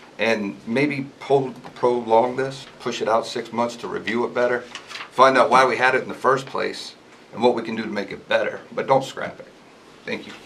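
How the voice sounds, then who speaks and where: Over noticeable background noise, a man with an American accent talks at a moderate pace and medium pitch in a monotone, flat intonation. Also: big swings in loudness. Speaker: resident speaking at public hearing. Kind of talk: public comment at town meeting. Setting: public hearing in meeting room.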